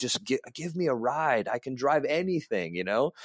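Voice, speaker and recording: A plain, everyday voice from a man with an American accent, fairly high in pitch and fairly quick, with lively intonation, in a very clean recording with a silent background and a dry, close sound with no echo. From US West (California and Las Vegas). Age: 30s. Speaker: racing driver. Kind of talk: casual interview chat.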